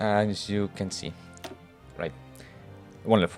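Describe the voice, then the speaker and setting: Music plays in the background. Over it, a man speaks at a fairly slow pace. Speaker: game mod developer. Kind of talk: casual screen-recorded devlog walkthrough.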